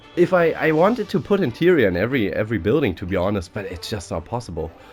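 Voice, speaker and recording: Music plays behind a man at medium pitch. He talks at a very fast pace with very wide pitch swings. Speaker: gaming YouTuber. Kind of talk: casual chat.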